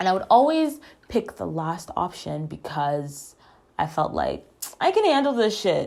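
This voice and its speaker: A soft-spoken woman at a fairly slow pace. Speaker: podcast host. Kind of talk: casual personal monologue. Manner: informal, halting with fillers.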